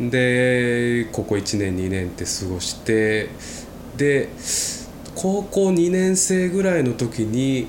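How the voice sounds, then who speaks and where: Very slow speech with very wide pitch swings, plus audible room echo and noticeable background noise. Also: man, medium pitch for a man. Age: 20s. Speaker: podcast co-host. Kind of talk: casual chat.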